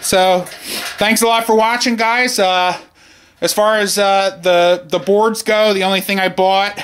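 A man's high-pitched voice at a fairly slow pace. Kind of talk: casual tutorial narration. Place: garage. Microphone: phone near.

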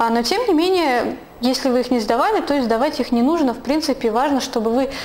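At a moderate pace, a woman speaks with a high pitch and ordinary pitch variation over light background noise. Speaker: vlogger. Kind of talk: vlog monologue. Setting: at home. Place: home room. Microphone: lapel.

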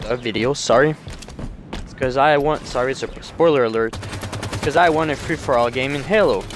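Over noticeable background noise, a man with a French Canadian accent talks at a fairly quick pace with ordinary pitch variation and long, frequent pauses. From Quebec, Canada. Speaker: gaming YouTuber. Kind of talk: gameplay commentary with intro. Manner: hesitant, self-correcting.

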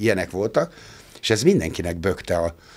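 A very deep, low-pitched man with fairly even intonation. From Hungary. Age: 60s. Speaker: musician; podcast guest. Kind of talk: casual chat. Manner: halting. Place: studio. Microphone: studio mic.

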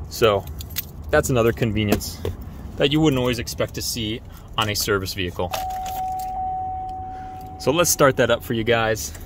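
Over noticeable background noise, the speech comes at a moderate pace with long, frequent pauses in a dry sound with no echo. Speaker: vehicle seller. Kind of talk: casual walkaround sales tour. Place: street. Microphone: phone near.

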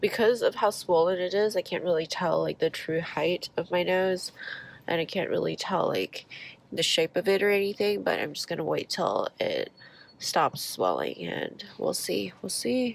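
At a moderate pace, a woman speaks in a nasal voice with a dry sound and no echo. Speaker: vlogger after nose surgery. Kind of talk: casual vlog chat. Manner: congested, nasal voice after nose surgery. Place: car. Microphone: phone near.

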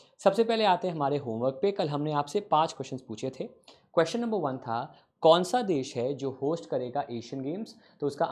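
The intonation is lively. The pace is moderate. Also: man. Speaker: exam prep teacher. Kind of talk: lecture. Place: studio. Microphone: lapel.

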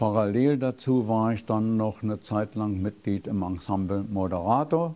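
At a moderate pace, a man talks in a fairly low pitch with a dark, mellow tone and ordinary pitch variation. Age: 80s+. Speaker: magician. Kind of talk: interview answer. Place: studio. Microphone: lapel.

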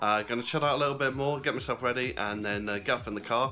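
Faint music in the background behind a man speaking with ordinary pitch variation. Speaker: wrestling fan vlogger. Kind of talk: casual vlog chat. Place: kitchen. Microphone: phone near.

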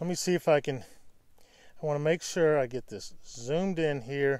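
A man with a fairly high pitch, ordinary pitch variation and a moderate pace, faint music in the background

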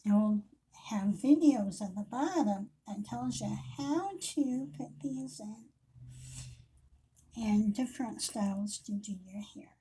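The voice is somewhat breathy with a dark, mellow tone, moving at a very slow pace through very wide pitch swings and long, frequent pauses over light background noise. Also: woman. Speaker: independent hair accessory seller. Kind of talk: casual product intro vlog. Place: home room. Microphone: webcam.

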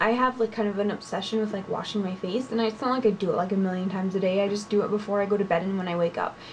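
A woman speaks with ordinary pitch variation. There is light background noise. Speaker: beauty vlogger. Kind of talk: casual vlog chat. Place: home room. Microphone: webcam.

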